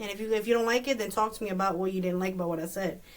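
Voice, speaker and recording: The speaker's pitch varies in an ordinary way. Noticeable background noise is present. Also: woman. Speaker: podcast co-host. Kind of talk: casual chat. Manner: loud.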